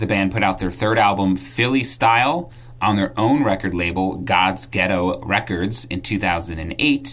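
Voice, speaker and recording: Noticeable background noise sits behind a man who speaks at a fairly slow pace with hardly any pauses. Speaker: ska history segment presenter. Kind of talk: scripted segment.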